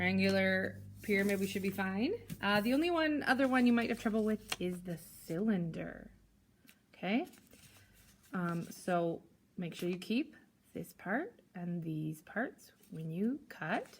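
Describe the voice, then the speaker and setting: A woman's medium pitch, somewhat breathy and fairly slow, with lively intonation and long, frequent pauses. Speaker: primary school teacher. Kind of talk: tutorial. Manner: casual, with fillers.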